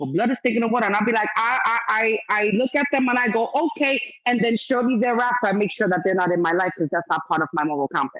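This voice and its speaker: A woman talks very fast in a fairly high voice, her tone animated and her intonation lively. Music plays in the background. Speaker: certified life coach. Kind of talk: motivational talk. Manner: loud.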